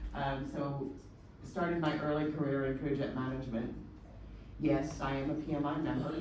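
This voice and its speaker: A woman's very deep, low voice in a Texan accent, fairly slow, with audible room echo. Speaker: agile consultant and executive. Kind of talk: presentation. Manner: hesitant with filler.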